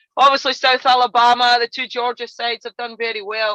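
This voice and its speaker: In a Scottish accent, the voice comes through with a bright, sharp tone and monotone, flat intonation, the sound dry and close with no echo against a quiet background. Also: woman. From Scotland. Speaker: college soccer coach. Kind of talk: podcast interview.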